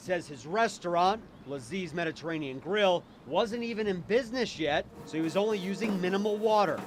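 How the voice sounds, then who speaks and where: With noticeable background noise behind him, a man talks at a fairly quick pace in a high-pitched voice. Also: lively intonation. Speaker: local TV news reporter. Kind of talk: TV news package reporting.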